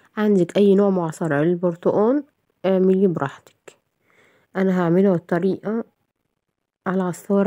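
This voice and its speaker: With long, frequent pauses, a woman talks at a moderate pace in a dark, mellow tone, her medium pitch held to fairly even intonation. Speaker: cooking channel host. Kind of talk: cooking tutorial. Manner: casual, chatty.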